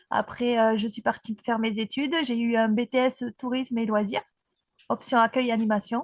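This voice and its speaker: A woman speaks at a fairly high pitch with a dry, close sound and no echo. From southern France, Aveyron (Rodez), Occitanie. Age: 40s. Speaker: para-dressage rider. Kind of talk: interview, personal life story.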